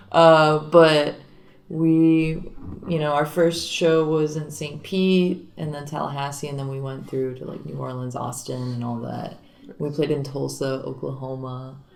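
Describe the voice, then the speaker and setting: With fairly even intonation and big swings in loudness, the speech moves at a fairly slow pace amid audible room echo and noticeable background noise. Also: woman, very deep, low pitch for a woman. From Miami, Florida. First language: Spanish. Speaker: singer and guitarist in a garage rock band. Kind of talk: casual interview.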